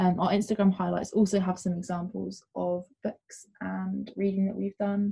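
At a moderate pace, a woman speaks in a medium pitch, her intonation monotone and flat and her voice somewhat breathy. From UK. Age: young. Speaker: artist and podcast co-host. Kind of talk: scripted intro; casual chat.

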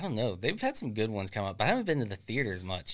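A man's fairly low voice with a Florida accent, on a very clean recording with a silent background. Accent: US Southern (Florida). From Central Florida, near Leesburg. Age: 20s. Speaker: forklift supervisor. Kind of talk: casual chat.

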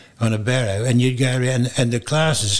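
A man is speaking. He has an Australian accent. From Queensland, Australia. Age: 80s+. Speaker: retired airline pilot. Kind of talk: oral history interview. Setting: museum.

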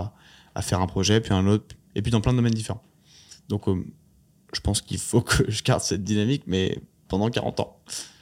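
A man with a fairly low pitch and fairly even intonation at a fairly quick pace, on a very clean recording with a silent background. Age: 20s. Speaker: startup founder and CEO. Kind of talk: interview conversation. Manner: halting, many fillers and repetitions.

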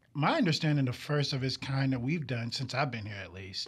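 With an American accent, a man talks in a somewhat breathy voice. His pitch varies in an ordinary way. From New York. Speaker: television director. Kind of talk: casual chat. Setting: studio.

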